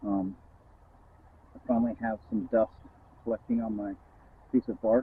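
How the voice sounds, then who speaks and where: A man's medium-pitched, flat, monotone delivery at a moderate pace, with long, frequent pauses and big swings in loudness. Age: 50s. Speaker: outdoor survival vlogger. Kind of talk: casual vlog talk. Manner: halting, with many fillers.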